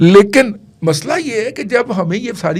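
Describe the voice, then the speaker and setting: Very wide pitch swings run through this voice. The speaker is a man. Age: 60s. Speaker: political commentator. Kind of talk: podcast political discussion.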